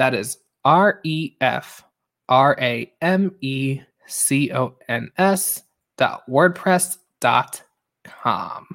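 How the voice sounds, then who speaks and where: In an American accent, the speaker talks at a very slow pace with long, frequent pauses. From Long Island, New York. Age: 20s. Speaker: podcast host. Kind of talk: casual chat.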